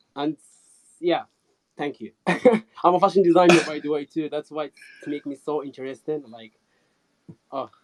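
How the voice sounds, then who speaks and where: A man at a fairly high pitch and moderate pace, with ordinary pitch variation, big swings in loudness, long, frequent pauses, and a dry, close sound with no echo. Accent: non-native. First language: not English. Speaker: fashion designer, audience member. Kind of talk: question in a live audio chat.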